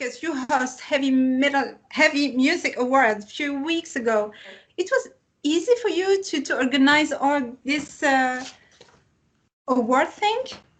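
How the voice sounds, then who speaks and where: A woman with a non-native accent speaks at a fairly slow pace. Her voice is high, with lively intonation. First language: not English. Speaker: music website interviewer. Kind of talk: interview. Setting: video call. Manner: halting.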